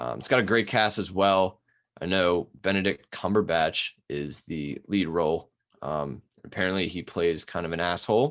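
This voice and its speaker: With a Baltimore accent, a man speaks at a very deep, low pitch and a moderate pace. His pitch variation is ordinary, and the background is quiet. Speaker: podcast co-host. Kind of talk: casual chat. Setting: video call.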